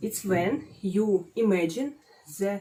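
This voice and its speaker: A woman with a Russian accent, dark and mellow in tone, very slow, with ordinary pitch variation. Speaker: psychology student, guest expert. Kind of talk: casual advice chat. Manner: halting, many filler sounds.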